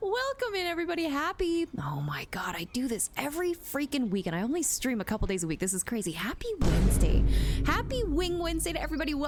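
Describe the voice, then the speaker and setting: Someone speaks in a cheerful tone at a very fast pace, with music in the background. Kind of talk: casual livestream host. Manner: cheerful, welcoming.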